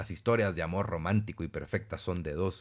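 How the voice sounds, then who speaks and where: A man with a Mexican accent and fairly low pitch is heard on a very clean recording with a silent background. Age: 40s. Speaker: podcast host and personal development speaker. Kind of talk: casual monologue. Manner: animated.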